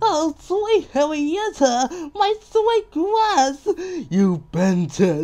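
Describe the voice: Delivered at a very slow pace, the put-on character voice has a dark, mellow tone and big pitch swings.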